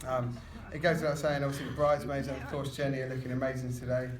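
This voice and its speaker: The speaker mumbles at a very fast pace in a British accent, with monotone, flat intonation. Noticeable background noise and audible room echo surround the voice. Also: man. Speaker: best man at a wedding. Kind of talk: wedding speech. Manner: mumbling.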